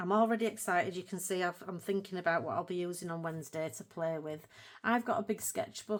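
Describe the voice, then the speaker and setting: In a Yorkshire accent, a woman speaks with lively intonation. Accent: broad Yorkshire. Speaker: colouring hobby YouTuber. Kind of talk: casual video talk to viewers.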